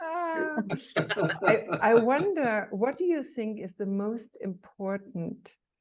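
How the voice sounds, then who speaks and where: Very slowly, a woman speaks with vocal fry and very wide pitch swings. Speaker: co-founder of the forum. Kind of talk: interview questions.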